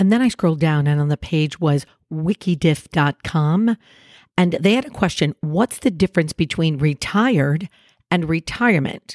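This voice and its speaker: A woman speaks at a fairly low pitch with lively intonation and an animated tone, her voice dry and close with no echo. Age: 60s. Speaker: podcast host. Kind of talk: motivational monologue.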